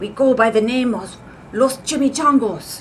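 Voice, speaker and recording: A woman uses a put-on character voice, growling at a high pitch and a moderate pace. Clear background noise sits behind her. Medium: read story.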